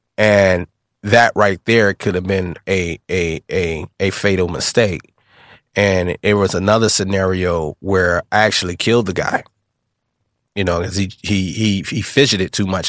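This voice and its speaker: A normal speaking voice, a man with an American accent, fairly low pitch, ordinary pitch variation and a moderate pace, in a dry, close sound with no echo and a very clean recording over a silent background. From Illinois, Kankakee and Joliet. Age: 30s. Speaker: apparel brand founder, survivor. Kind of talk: life story testimony. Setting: studio.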